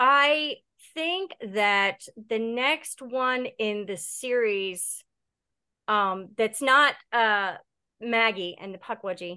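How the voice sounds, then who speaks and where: With an American accent, this voice has a bright, sharp tone and lively intonation against a quiet background. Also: woman. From Delaware, US. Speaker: horror author. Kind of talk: casual chat.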